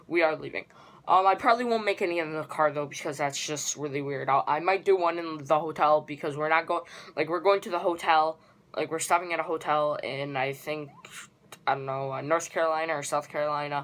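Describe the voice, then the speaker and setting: A woman with a very deep, low pitch speaks at a fairly quick pace and with fairly even intonation. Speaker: vlogger. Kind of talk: casual vlog chat. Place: home room. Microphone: phone near.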